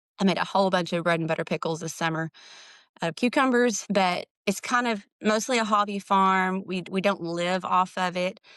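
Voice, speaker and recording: In a Southern US accent, a woman talks at a moderate pace with medium pitch and ordinary pitch variation against a quiet background. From Texas, small town. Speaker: writer and hobby farmer. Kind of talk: podcast interview. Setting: remote recording.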